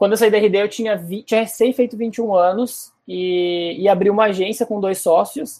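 The voice has a strong Porto Alegre accent and a dark, mellow tone. It moves at a moderate pace with hardly any pauses. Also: man, high pitch for a man, fairly even intonation. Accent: strong Porto Alegre (gaúcho). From Porto Alegre, southern Brazil. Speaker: product manager. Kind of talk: casual interview.

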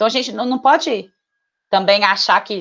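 Using an unremarkable speaking voice, a woman talks at a moderate pace with a medium pitch and ordinary pitch variation. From Minas Gerais, Brazil (Betim, Belo Horizonte area). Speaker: marketing professional. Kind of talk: casual interview conversation.

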